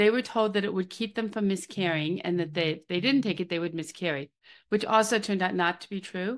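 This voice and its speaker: In an ordinary speaking voice, a woman with an American accent talks at a fairly quick pace, medium in pitch with ordinary pitch variation, over a quiet background. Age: 60s. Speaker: drug safety advocate. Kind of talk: casual interview.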